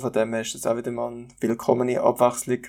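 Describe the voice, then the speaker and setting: This man's speech is very fast. It stays monotone and flat throughout. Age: 20s. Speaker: podcast co-host. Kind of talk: casual chat.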